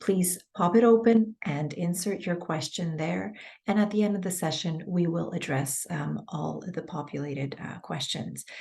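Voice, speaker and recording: The tone is dark and mellow, with vocal fry. Pitch varies in an ordinary way. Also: woman, fairly low pitch for a woman, moderate pace. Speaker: webinar moderator. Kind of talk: webinar announcements.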